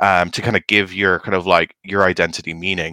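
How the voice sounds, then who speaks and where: A man with an Irish accent and a bright, sharp tone, fairly low in pitch, at a moderate pace, with a dry, close sound with no echo in a very clean recording with a silent background. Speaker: podcast host. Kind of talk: casual chat.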